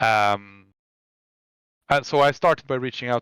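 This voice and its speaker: Medium-pitched man with a Swedish accent, a fairly quick pace and fairly even intonation, in a dry, close sound with no echo. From Sweden. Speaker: web developer. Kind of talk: interview. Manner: halting, many fillers and restarts.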